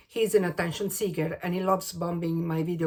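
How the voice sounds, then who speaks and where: With an Italian accent, a woman speaks at a fairly low pitch with ordinary pitch variation. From Italy, Rome. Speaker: crochet and knitting vlogger. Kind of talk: casual vlog introduction. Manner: hesitant, with fillers.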